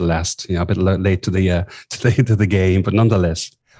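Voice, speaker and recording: A man's dark, mellow voice with an Irish accent and fairly even intonation. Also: very clean recording, silent background. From southern Ireland. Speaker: executive coach. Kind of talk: interview.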